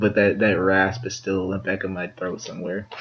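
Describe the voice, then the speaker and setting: The words come at a fairly quick pace, with noticeable background noise throughout. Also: man. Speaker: podcast co-host. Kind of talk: casual chat. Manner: halting, many fillers and repeats. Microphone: poor audio quality.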